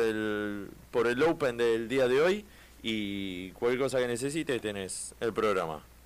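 At a fairly slow pace, a man speaks in a Rioplatense accent. His medium pitch shows ordinary variation. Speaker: radio host. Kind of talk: casual chat. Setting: studio.

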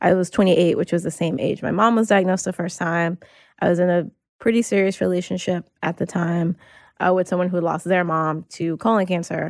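An unremarkable speaking voice from a woman, fairly low-pitched, fairly quick, with fairly even intonation, on a very clean recording with a silent background and a dry, close sound with no echo. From US South, North Carolina. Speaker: attorney, writer and health awareness advocate. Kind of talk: interview, personal testimony.

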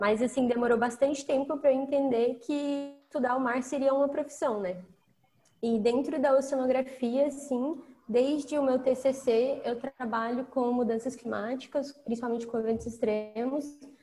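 A woman at a moderate pace, high in pitch, with a dark, mellow tone and fairly even intonation. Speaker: oceanographer. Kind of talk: casual podcast conversation with explanations.

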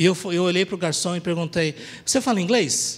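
Lively intonation at a fairly quick pace. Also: man. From Brazil, Paraná. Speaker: preacher. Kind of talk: sermon.

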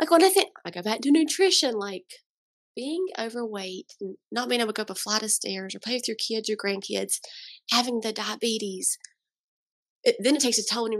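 Long, frequent pauses break up a woman's fairly high voice, which carries lively intonation. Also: fairly quick pace. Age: 30s. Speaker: registered dietitian and farm owner. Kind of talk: casual chat. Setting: in-person recording. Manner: hesitant, many fillers.

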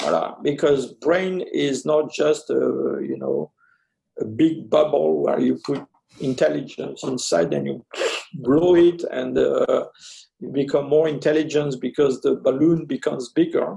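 In a French accent, a man talks at a fairly slow pace. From French Algeria, then France. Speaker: anthropologist. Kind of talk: interview. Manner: halting, many fillers.

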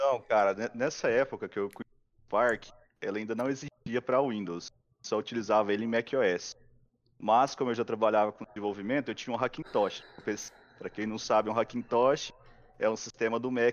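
A normal speaking voice, a man at medium pitch, moderate pace and fairly even intonation. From Goiás, Brazil. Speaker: augmented reality filter creator, YouTuber. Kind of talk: live stream interview.

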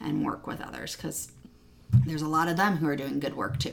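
A woman's voice amid noticeable background noise. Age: 40s. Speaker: Lutheran church youth ministry director and podcast co-host. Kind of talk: casual chat. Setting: in the same room as co-host.

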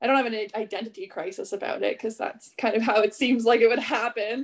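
It is a plain, everyday voice at a fairly quick pace. The pitch shows ordinary variation. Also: woman. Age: 20s. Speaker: strength and conditioning coach. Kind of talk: casual chat.

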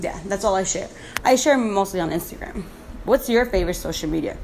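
A woman at medium pitch talks at a fairly quick pace with ordinary pitch variation and long, frequent pauses, over noticeable background noise. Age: 20s. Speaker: podcast host. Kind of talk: casual solo chat. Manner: bubbly, talkative; casual, chatty.

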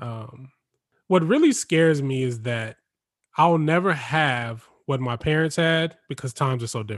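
A man with a normal speaking voice talks at a moderate pace in a fairly high pitch with ordinary pitch variation, on a very clean recording with a silent background. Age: 30s. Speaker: podcast host. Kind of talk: casual chat.

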